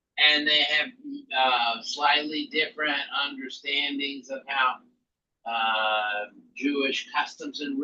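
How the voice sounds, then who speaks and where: A man with a slight Southern US accent speaks at a very slow pace, his fairly high pitch moving with ordinary variation and his tone bright and sharp. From US South. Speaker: rabbi teaching an intro class. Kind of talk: lecture. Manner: halting, many fillers.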